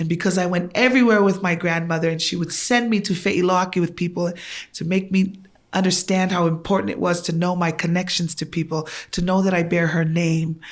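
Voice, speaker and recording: A woman speaks with a Tongan accent at a fairly quick pace. Her pitch is fairly low, and her intonation fairly even. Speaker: guest. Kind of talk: casual chat.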